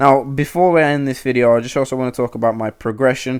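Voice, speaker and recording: A man at medium pitch, fairly quick and fairly even in intonation, on a very clean recording with a silent background. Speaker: gaming YouTuber. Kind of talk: casual gameplay commentary. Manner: fast; halting, many fillers and repeats.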